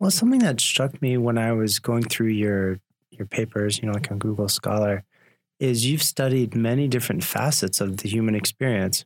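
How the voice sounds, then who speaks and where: A man talks at a moderate pace with an unremarkable speaking voice and ordinary pitch variation. The sound is dry and close with no echo. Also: medium pitch for a man. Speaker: podcast host. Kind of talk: interview conversation. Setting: studio.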